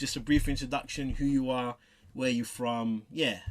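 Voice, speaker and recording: A man with a London accent speaks at a moderate pace in a bright, sharp tone, captured in a very clean recording against a silent background. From southeast London. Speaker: interviewer. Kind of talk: interview.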